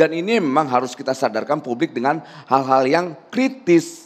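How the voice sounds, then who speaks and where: A man is speaking. His intonation is lively. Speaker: activist; guest. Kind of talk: televised talk show debate. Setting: TV studio. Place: studio. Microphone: handheld.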